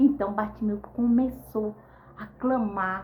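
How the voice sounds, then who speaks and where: A somewhat breathy woman's voice, fairly high in pitch, at a very slow pace, with audible room echo. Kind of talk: devotional teaching. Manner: animated.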